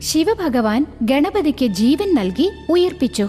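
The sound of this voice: Over faint background music, the voice moves slowly with big pitch swings and a dark, mellow tone. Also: woman, high pitch for a woman.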